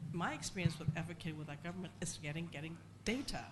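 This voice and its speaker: Somewhat breathy speech comes at a fairly quick pace, with audible room echo. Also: woman. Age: 60s. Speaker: foundation chair, panelist. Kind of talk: panel discussion. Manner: soft-spoken. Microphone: too quiet.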